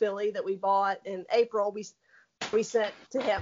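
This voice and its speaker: At a moderate pace, a woman with a fairly high pitch talks with a Southern US accent. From Tennessee. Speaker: racehorse owner. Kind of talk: casual interview. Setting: phone call.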